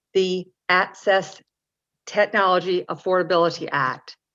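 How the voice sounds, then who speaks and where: A woman with a Southern US accent, medium pitch, bright and sharp tone, and a fairly slow pace. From North Carolina. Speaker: parent advocate. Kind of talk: mock lobbying meeting.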